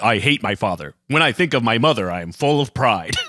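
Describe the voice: Using a put-on character voice, a man at a medium pitch speaks at a fairly quick pace in a serious, solemn tone.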